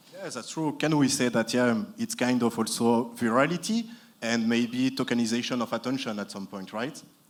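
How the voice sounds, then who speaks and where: A man with a French accent at medium pitch and a moderate pace, with ordinary pitch variation. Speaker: panel moderator. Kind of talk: panel discussion. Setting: conference stage with audience.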